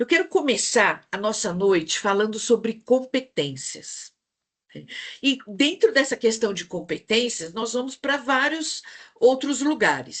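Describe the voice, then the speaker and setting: Speaking at a fairly slow pace in a São Paulo accent, the voice moves through very wide pitch swings. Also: woman, high pitch for a woman. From São Paulo, Brazil. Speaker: psychologist and speaker. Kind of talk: online talk to professional group. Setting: video call.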